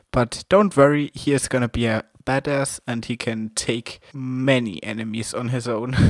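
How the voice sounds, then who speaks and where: With hardly any pauses, the speaker talks in a German accent, in a dry, close sound with no echo. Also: man, medium pitch for a man, ordinary pitch variation, moderate pace. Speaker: amateur comic artist, video creator. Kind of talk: casual monologue, character introduction. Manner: halting, non-fluent.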